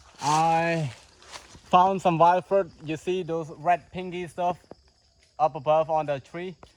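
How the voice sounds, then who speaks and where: Speaking with a Cambodian accent, a man with a high pitch talks at a very slow pace with long, frequent pauses, fairly even intonation and big swings in loudness. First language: Khmer. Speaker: outdoor tour guide and vlogger. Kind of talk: outdoor vlog narration. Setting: outdoors in rainforest.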